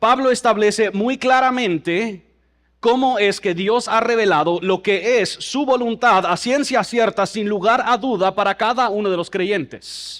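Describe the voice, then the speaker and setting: A man talks at a fairly slow pace. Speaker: pastor. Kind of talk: sermon.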